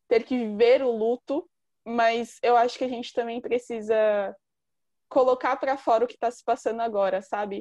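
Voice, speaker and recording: Over a quiet background, a woman with a dark, mellow tone speaks at a fairly high pitch with fairly even intonation. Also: dry, close sound with no echo. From São Paulo, Brazil (east side). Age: 20s. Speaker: journalist and author. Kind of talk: casual chat.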